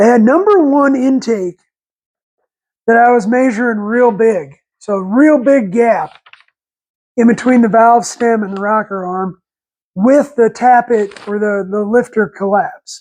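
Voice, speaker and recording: Long, frequent pauses break up this man's fairly slow speech. His pitch is extremely high, with ordinary variation. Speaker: DIY mechanic vlogger. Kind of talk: garage tutorial. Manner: halting, with many fillers and repetitions.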